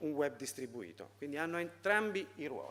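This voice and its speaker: A man at a fairly quick pace. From Italy. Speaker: foundation president. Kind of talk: conference talk. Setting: seminar with audience. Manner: halting, many fillers.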